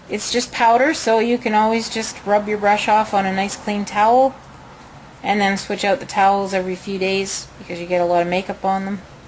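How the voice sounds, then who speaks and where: Over noticeable background noise, a woman with a Canadian accent talks at a fairly quick pace with fairly even intonation. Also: medium pitch for a woman. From Canada (Winnipeg). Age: 40s. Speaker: beauty consultant. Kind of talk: makeup tutorial. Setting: home, at desk. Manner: casual, chatty.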